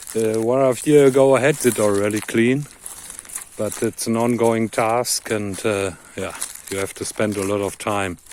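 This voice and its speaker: A man with a fairly low pitch talks amid noticeable background noise. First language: not English. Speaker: off-grid farmer and vlogger. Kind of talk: casual vlog narration while working outdoors. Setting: outdoors on farm land.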